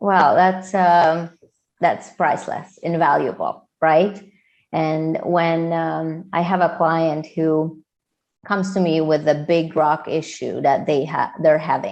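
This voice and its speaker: A woman with a Hungarian accent speaks at a very slow pace in a monotone, flat intonation against a quiet background. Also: fairly low pitch for a woman. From Hungary. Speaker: entrepreneur and coach. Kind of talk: podcast interview.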